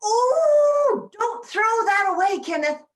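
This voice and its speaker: A woman's put-on character voice, squeaky and extremely high, with very wide pitch swings at a very slow pace. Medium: stage play. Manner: fussy.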